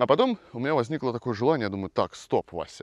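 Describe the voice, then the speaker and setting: Dry, close sound with no echo carries a man's medium-pitched voice. The background is quiet. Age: 30s. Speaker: rock musician and video blogger. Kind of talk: casual monologue. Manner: animated.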